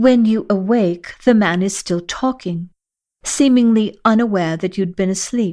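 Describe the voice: The plain reading aloud varies in pitch in an ordinary way, with a quiet background behind it.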